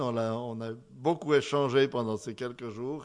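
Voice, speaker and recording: A man with a Swiss accent talks at a very slow pace. His medium pitch shows ordinary variation. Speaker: pastor. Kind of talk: sermon.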